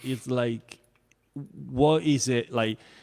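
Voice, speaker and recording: In an Italian accent, a man with a medium-pitched voice speaks at a very slow pace. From Italy. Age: 40s. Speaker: songwriter. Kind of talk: casual chat. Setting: live stream. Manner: halting.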